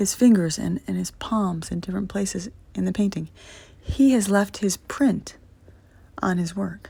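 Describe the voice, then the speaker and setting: Mumbling at a fairly slow pace, a woman speaks in a dark, mellow, somewhat breathy tone with fairly even intonation. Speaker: vlogger with neurological disorder. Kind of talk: reflective monologue. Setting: at home, recorded message. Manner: low, mumbling.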